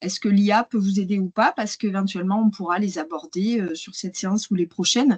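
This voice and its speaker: The voice is somewhat breathy and moves at a moderate pace. The sound is dry and close, with no echo. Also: woman. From southern France, Hérault. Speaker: AI and wine marketing consultant. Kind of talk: webinar presentation. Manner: hesitant, many fillers.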